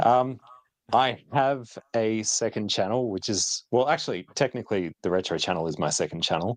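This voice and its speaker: A man with an Australian accent speaks at medium pitch. The sound is dry and close, with no echo. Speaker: retro tech youtuber. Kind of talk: casual chat. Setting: live stream.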